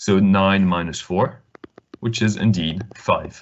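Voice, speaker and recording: A man speaks at a very slow pace in a fairly low pitch. His pitch varies in an ordinary way. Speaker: online maths tutor. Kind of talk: online lesson. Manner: hesitant, many fillers.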